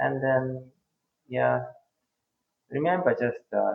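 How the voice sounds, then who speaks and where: In a Korean accent, a man speaks at a very slow pace. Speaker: interview guest. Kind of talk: interview. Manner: halting, with many hesitations.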